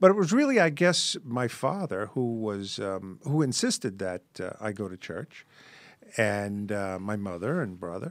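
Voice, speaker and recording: A man with a plain, everyday voice speaks fairly low and fairly slowly, with lively intonation. His loudness swings widely, and the recording is very clean with a silent background. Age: 60s. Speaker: podcast guest. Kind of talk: casual chat.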